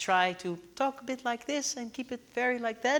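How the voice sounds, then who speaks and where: A woman in a put-on character voice, high-pitched and strained, at a moderate pace. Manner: talking in a forced way with limited volume.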